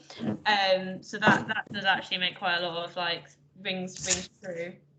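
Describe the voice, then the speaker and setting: At a fairly slow pace, a woman speaks at a medium pitch with fairly even intonation and big swings in loudness. Noticeable background noise runs underneath. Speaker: trainee. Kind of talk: training session discussion.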